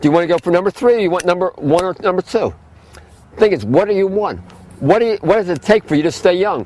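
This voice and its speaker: An animated man at a very fast pace, high-pitched, with ordinary pitch variation and a dry, close sound with no echo. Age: 60s. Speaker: health food store owner. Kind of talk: lecture.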